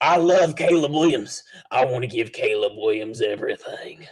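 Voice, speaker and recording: In a put-on character voice, a man speaks at a moderate pace with a fairly high pitch, lively intonation and very even loudness. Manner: gushing, overeager.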